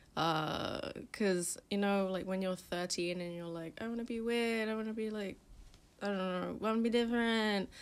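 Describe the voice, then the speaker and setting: A woman speaks with a London accent. Her pitch sits in the medium range. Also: fairly even intonation, moderate pace. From London, England. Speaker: magazine founder and stylist. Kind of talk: podcast interview. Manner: casual, filler-heavy.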